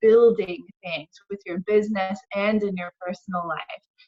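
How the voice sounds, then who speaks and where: A woman with a fairly high voice at a moderate pace, the sound dry and close with no echo. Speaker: tarot reader and life coach. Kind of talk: tarot reading session. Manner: animated.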